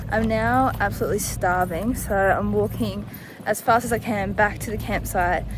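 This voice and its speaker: A woman speaks at a moderate pace in an Australian accent. Background noise is noticeable. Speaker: vlogger. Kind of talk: vlog narration.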